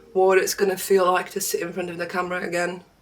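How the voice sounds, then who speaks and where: The speaker has a slight Polish accent, with noticeable background noise behind the voice. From Poland. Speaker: beauty and art vlogger. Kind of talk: casual chat.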